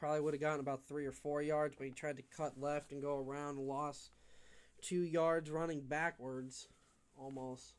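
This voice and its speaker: Here a man talks with an American accent and fairly high pitch. His pace is moderate. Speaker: livestream sports commentator. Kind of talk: live commentary. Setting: home, window open. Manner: animated.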